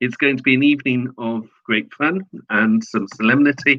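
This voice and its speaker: The speaker is a man with a British accent. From Britain. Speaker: online political commentator. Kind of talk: promotional announcement. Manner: halting.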